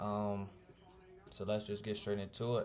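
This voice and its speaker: A man speaks fairly quickly, his voice carrying audible room echo over noticeable background noise. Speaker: student presenter. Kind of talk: casual video presentation. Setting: home recording with music playing. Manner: fast; animated.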